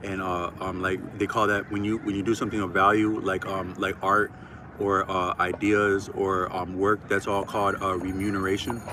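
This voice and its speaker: Over noticeable background noise, a man with an American accent talks at a moderate pace, fairly low in pitch and monotone with flat intonation. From Minnesota, Twin Cities. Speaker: YouTuber. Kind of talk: casual monologue. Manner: halting, many fillers.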